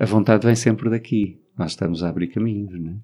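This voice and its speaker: A man talks at a moderate pace with fairly low pitch and ordinary pitch variation. His tone is dark and mellow over a quiet background. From Portugal, Alentejo. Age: 40s. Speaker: LGBT activist. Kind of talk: interview.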